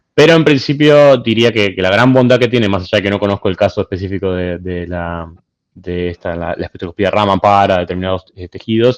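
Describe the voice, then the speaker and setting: A man with a fairly low pitch talks at a fairly quick pace with a slight Argentine accent and ordinary pitch variation. The sound is dry and close, with no echo. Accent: slightly Argentine. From Argentina, Buenos Aires. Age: young. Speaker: physicist, invited speaker. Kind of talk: Q&A after a lecture. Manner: halting, many fillers.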